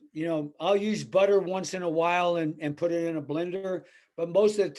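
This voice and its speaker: This man has a high pitch and speaks with an American accent. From US Midwest, small-town Illinois. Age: 70s. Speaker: weightlifting coach. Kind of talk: podcast interview. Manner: blunt, plain-spoken.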